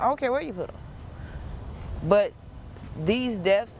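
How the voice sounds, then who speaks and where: There is noticeable background noise behind a woman with an American accent. Her intonation is lively. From South Los Angeles. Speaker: mother of murder victim. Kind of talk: interview answer. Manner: emotional, determined.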